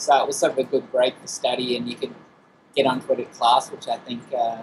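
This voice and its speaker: Noticeable background noise surrounds a man speaking at a fairly quick pace with an Australian accent. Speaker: game producer. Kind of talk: interview.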